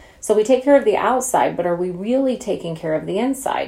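A woman with an American accent and ordinary pitch variation, over noticeable background noise. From Oklahoma. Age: 40s. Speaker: podcast host, entrepreneur. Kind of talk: casual solo podcast talk. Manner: animated.

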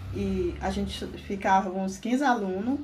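A woman's somewhat breathy voice with audible room echo. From rural Maranhão, Brazil. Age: 50s. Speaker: interviewee. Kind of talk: interview testimony.

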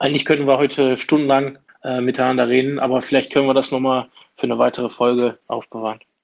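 At a fairly quick pace, a man with a fairly high pitch uses an unremarkable speaking voice. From Germany, Duisburg area (Ruhr). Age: 30s. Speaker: trade union official. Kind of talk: interview.

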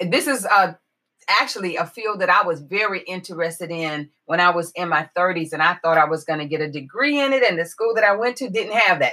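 A woman's ordinary speaking voice at medium pitch, fairly quick, with lively intonation. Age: 50s. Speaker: podcast host. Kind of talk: solo podcast monologue.

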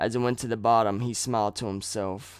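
A man at a medium pitch and moderate pace, an unremarkable speaking voice, on a very clean recording with a silent background. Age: 20s. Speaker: true crime podcast host. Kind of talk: casual narration of true crime.

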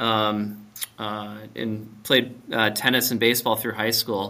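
The man's tone is bright and sharp, at a medium pitch. He speaks at a fairly slow pace. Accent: American. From Minnesota. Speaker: company owner and CEO. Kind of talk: interview.

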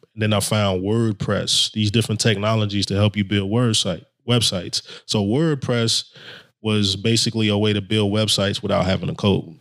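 This man has an ordinary speaking voice, fairly low in pitch, with fairly even intonation. He keeps a moderate pace at a very even loudness. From Brooklyn, New York (Haitian immigrant parents). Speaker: web developer, formerly incarcerated. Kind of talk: interview.

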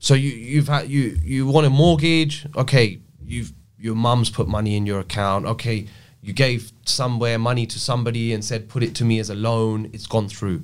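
On a very clean recording with a silent background, a man speaks at a moderate pace. He has an ordinary speaking voice, a medium pitch and ordinary pitch variation. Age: 30s. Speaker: crypto and blockchain specialist. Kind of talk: casual interview chat. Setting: studio.

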